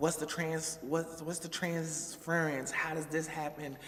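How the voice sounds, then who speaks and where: The pace is fairly slow, with noticeable background noise and audible room echo. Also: woman. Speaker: vlogger. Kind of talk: casual vlog monologue.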